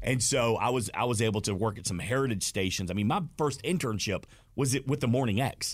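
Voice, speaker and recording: Energetic and fairly quick, a man with a Southern US accent talks at a medium pitch with ordinary pitch variation on a very clean recording with a silent background. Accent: Southern US (Georgia). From Georgia, US South (Smyrna, near Atlanta). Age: 40s. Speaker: stadium host and former radio host. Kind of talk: casual chat. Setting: studio.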